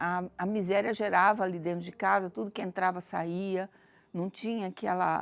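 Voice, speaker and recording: A woman speaks with a plain, everyday voice at a medium pitch and fairly even intonation. The recording is very clean with a silent background. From Brazil, Campinas, São Paulo. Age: 60s. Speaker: church member giving testimony. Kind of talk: testimony.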